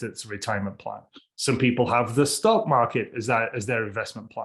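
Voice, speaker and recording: The voice is somewhat breathy, moving at a fairly quick pace with ordinary pitch variation. The background is quiet. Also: man. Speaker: real estate agent. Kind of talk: interview. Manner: casual.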